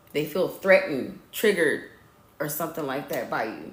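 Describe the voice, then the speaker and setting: A woman's lively intonation, with audible room echo. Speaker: tarot or spiritual reader. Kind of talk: live stream spiritual reading. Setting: live stream. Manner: animated.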